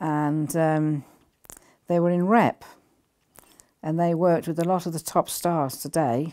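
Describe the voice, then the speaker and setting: The speaker's dark, mellow tone moves at a fairly slow pace with fairly even intonation and long, frequent pauses. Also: woman, fairly low pitch for a woman. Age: 80s+. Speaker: spiritual healer and lightworker. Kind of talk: interview answer, personal storytelling. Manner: reflective, recalling childhood.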